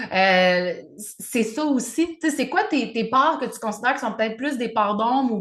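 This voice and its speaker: This is a woman speaking. She has a Quebec accent. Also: quiet background. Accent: Québécois French. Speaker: podcast co-host, spiritual coach. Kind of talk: casual chat. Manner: loud.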